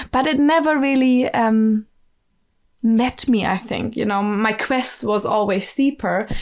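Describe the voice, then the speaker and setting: With a German accent, a woman talks at a fairly slow pace in a fairly high pitch, using ordinary pitch variation. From southern Germany (Bavaria), rural. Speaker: musician and ecovillage network staff. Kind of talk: podcast interview. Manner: hesitant, many fillers and restarts.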